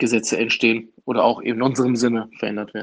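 The delivery is monotone with flat intonation. It moves at a moderate pace. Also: man. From Germany, Duisburg area (Ruhr). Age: 30s. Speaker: trade union official. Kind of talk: interview.

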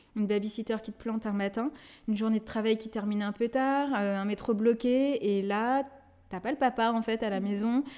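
Her voice fairly high in pitch with a dark, mellow tone, a woman speaks at a moderate pace with fairly even intonation in a very clean recording against a silent background. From Brittany, France. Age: 30s. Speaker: event manager, single mother. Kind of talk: testimony.

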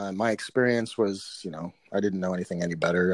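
A man with a fairly low pitch speaks with an Upper Midwest accent and ordinary pitch variation. The recording is very clean, with a silent background. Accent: Upper Midwest American. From Minnesota, South Minneapolis. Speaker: tactical and martial arts trainer. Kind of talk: casual interview.

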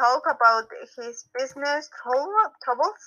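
A woman speaks fairly slowly with lively intonation. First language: Spanish. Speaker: reading club participant. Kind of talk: casual chat. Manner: halting.

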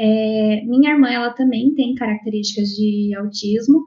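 A woman's voice sits at a fairly high pitch and is somewhat breathy. Her intonation stays fairly even. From Londrina, Paraná, Brazil. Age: 20s. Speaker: iOS developer, mother. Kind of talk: casual chat.

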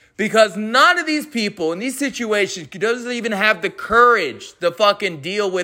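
A man's raised, projected voice, high-pitched and bright and sharp in tone, with very wide pitch swings, on a very clean recording with a silent background. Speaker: veteran podcaster. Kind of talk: angry rant. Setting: home with dog barking. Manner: loud, profane, aggressive; heated, repetitive, stumbling over words.

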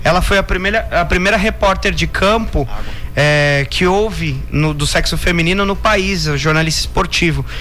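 In a room with audible echo and noticeable background noise, a man talks at a moderate pace with very even loudness. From Brazil, Indaiatuba (São Paulo state). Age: 20s. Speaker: radio journalist and DJ. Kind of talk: radio interview.

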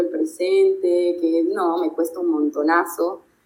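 A woman talks with very wide pitch swings. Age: 30s. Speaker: advertising creative and voice-over artist. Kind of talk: interview.

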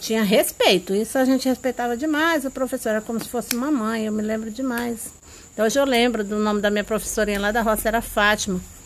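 At a fairly quick pace, a woman with an ordinary speaking voice talks at a fairly high pitch with fairly even intonation. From rural Brazil. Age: 50s. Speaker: mother recalling her schooldays. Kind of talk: interview.

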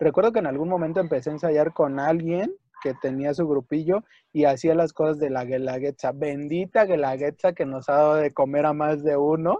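In a plain, everyday voice, a man speaks at a moderate pace with a fairly high pitch and ordinary pitch variation. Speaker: podcast co-host, folk dancer. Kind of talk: casual chat. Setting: home.

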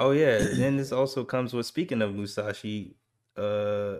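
At a moderate pace, a man talks in a normal speaking voice at medium pitch. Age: 20s. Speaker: video game podcast co-host. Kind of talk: casual chat.

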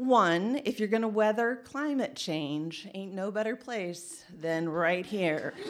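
A woman's medium-pitched voice at a very slow pace, with lively intonation and hardly any pauses. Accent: Midwestern American. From Indiana. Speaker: trail organization executive director. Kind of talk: storytelling talk.

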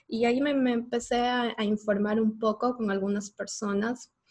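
Somewhat breathy, a woman talks at a fairly slow pace. Her pitch is fairly high, with fairly even intonation. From Ecuador. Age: 30s. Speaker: podcast host. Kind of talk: casual chat.

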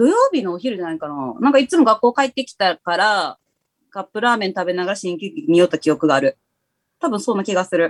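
Very fast delivery, very wide pitch swings and big swings in loudness come through a dry, close sound with no echo. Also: woman, medium pitch for a woman. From Kansai, Himeji area. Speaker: DJ. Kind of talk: casual chat. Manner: animated, laughing often.

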